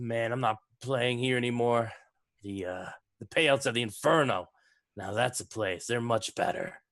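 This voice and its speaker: Against a quiet background, a man does a gruff, put-on character voice at medium pitch and a moderate pace, with long, frequent pauses. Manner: grumbling, muttering to himself.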